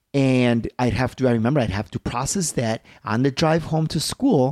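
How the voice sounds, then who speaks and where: In a dry, close sound with no echo, a man with an American accent speaks at a medium pitch, his dark, mellow tone showing ordinary pitch variation. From Chicago, Little Village. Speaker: martial artist. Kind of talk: casual chat.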